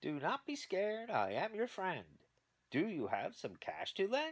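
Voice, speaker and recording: This put-on character voice runs at a moderate pace with a fairly high pitch. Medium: read story. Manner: rhyming, preachy.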